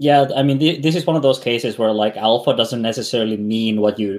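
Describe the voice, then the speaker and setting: A man with a non-native accent talks at a fairly quick pace. His pitch is medium, with ordinary variation. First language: not English. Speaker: podcast co-host. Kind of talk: casual chat. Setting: home studio. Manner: halting, many fillers.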